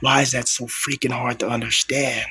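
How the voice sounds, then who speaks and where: Whispering at a moderate pace, a man speaks. Noticeable background noise runs underneath. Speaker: vlogger. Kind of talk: personal vlog monologue. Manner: soft-spoken.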